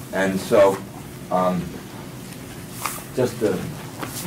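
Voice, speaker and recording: A man speaks with fairly even intonation. Noticeable background noise and audible room echo fill the recording. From Maine. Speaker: subsistence farmer and seed saver. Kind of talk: workshop lecture. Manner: casual, with frequent fillers and self-corrections.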